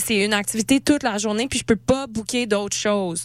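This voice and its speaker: Animated tone at a very fast pace. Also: woman. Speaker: radio host. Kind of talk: casual chat. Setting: studio.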